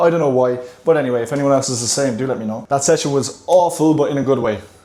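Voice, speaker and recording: Very fast speech with fairly even intonation over noticeable background noise. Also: man. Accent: Irish. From Ireland. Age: 20s. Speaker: fitness coach and vlogger. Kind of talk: casual vlog talk. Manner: casual, chatty.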